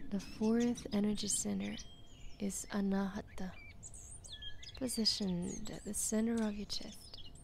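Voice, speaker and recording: A soothing, gentle tone carries this voice at a fairly slow pace, with long, frequent pauses. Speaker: yoga nidra instructor. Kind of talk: guided meditation, a slow chakra-by-chakra visualization naming centers and colors. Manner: slow, soothing, evenly paced cadence guiding attention step by step; gentle, calm and hypnotic, with repetitive listing phrasing.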